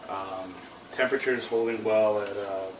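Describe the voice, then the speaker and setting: Audible room echo and noticeable background noise surround a man's fairly low voice. He keeps a moderate pace with monotone, flat intonation. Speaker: home cook showing barbecue. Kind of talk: cooking tutorial. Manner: talking low; casual with many fillers.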